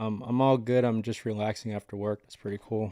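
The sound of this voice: A man talks at a fairly quick pace in a dark, mellow tone, fairly low-pitched and with little pitch movement.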